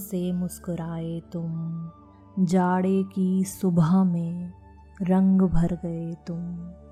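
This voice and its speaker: With music in the background, a woman at a fairly low pitch speaks very slowly in a monotone, flat intonation. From India. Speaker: poet. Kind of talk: poetry reading.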